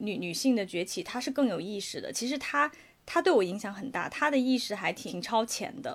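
Speaking at a fairly quick pace, a woman with a fairly high pitch makes very wide pitch swings. The recording is very clean, with a silent background. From China, Guangdong. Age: 30s. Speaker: podcast co-host. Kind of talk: casual chat.

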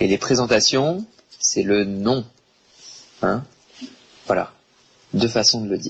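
A man at a medium pitch talks at a very slow pace, with long, frequent pauses and ordinary pitch variation. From France, Bordeaux. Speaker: French language teacher. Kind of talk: online language lesson. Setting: online live stream class. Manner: slow, deliberate for learners.

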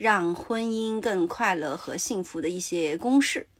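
A woman's voice swings very widely in pitch. The recording is very clean, with a silent background. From Sichuan, China. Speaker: podcast host. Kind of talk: casual chat. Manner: mixes English words into Mandarin.

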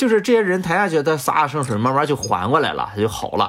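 With a normal speaking voice, a man talks at a fairly quick pace with lively intonation. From Shandong, China. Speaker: music doctoral student and flutist. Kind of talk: casual interview chat.

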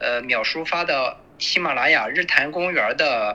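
A man speaks at a fairly slow pace with a slight Shandong accent. Noticeable background noise runs under his voice. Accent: slight Shandong Mandarin. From Shandong, Yantai. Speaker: trade worker living in Japan. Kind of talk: casual chat.

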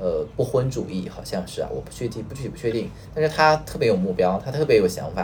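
Over noticeable background noise, a man speaks at a very fast pace with big swings in loudness. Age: 30s. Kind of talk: casual chat. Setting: online call.

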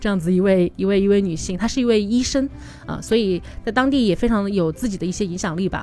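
At a very fast pace, a woman speaks at a medium pitch with ordinary pitch variation. Noticeable background noise is present. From Changsha, Hunan. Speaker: tour leader and travel product planner. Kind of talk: casual interview chat.

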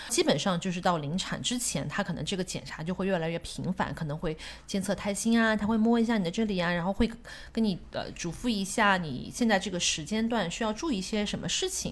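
Her pace is fairly quick and her voice somewhat breathy. This woman uses ordinary pitch variation. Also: medium pitch for a woman. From Shanghai, China. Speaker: guest sharing life story. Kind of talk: casual chat. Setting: at a home.

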